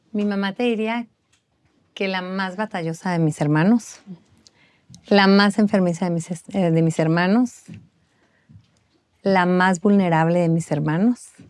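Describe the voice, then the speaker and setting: Speaking with a northern Mexican accent, a woman keeps a fairly slow pace and fairly even intonation. She leaves long, frequent pauses. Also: medium pitch for a woman. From northern Mexico. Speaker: bereaved mother and foundation founder. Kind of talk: testimony.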